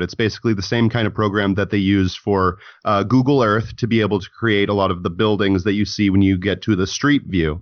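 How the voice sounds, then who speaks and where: Speaking very fast, a man uses a fairly low pitch with ordinary pitch variation. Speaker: YouTube show host. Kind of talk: casual chat.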